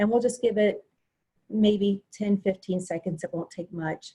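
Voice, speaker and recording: A woman's somewhat breathy, dark, mellow voice at medium pitch, with fairly even intonation and a fairly quick pace. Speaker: webinar presenter. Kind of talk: webinar presentation. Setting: video call. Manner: fast.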